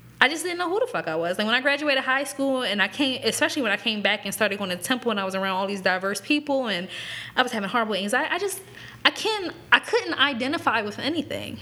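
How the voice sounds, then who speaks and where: A woman with an American accent talks very fast at a high pitch. Her pitch swings very widely, with noticeable background noise behind her. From Lancaster, Pennsylvania (earlier Arizona). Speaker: podcast co-host. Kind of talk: casual chat.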